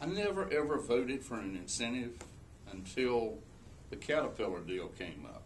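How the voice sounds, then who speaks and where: A man at medium pitch with very wide pitch swings and big swings in loudness, in a room with audible echo. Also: moderate pace. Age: 60s. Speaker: political candidate, state legislator and business owner. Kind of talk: political debate.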